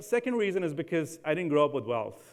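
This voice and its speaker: The speaker has an American accent and keeps a fairly quick pace. Pitch varies in an ordinary way. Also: man. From India. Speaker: housing finance leader. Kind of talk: keynote talk. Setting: stage with audience.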